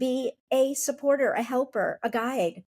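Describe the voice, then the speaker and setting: Speaking at a fairly slow pace with an American accent, a woman has a high-pitched voice with a dark, mellow tone, recorded with a dry, close sound and no echo. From Upstate New York. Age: 50s. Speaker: company founder and author. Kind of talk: podcast interview.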